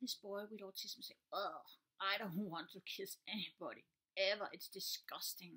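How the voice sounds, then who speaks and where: A woman's words come at a moderate pace over a quiet background. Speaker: teacher. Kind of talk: casual vlog chat. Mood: earnest, calm explaining. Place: home room. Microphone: webcam.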